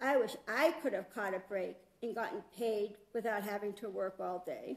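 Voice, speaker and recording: A woman puts on a whiny character voice at medium pitch. She talks at a moderate pace. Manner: pouty, sulky, whining.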